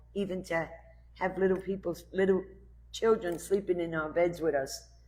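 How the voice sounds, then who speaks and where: A woman with a New York accent talks at a moderate pace. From Brooklyn, New York. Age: 60s. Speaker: recovering addict sharing story. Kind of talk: personal testimony.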